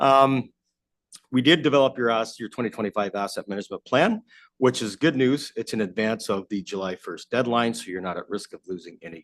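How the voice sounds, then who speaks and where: A man with an Ontario accent speaks at medium pitch and a fairly quick pace, with ordinary pitch variation and big swings in loudness, in a dry, close sound with no echo over a quiet background. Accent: Canadian (Ontario). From Southern Ontario. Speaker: asset management consultant. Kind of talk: presentation to council. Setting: council chamber.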